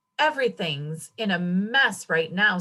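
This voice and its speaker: Using a put-on character voice, a woman rumbles at a medium pitch. Her pace is moderate. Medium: read story. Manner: grumbling, short-tempered.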